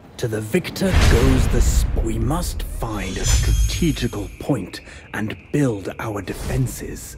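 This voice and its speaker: Over clear background noise, a man talks at a fairly slow pace in a put-on character voice. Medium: machinima. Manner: dry, wry.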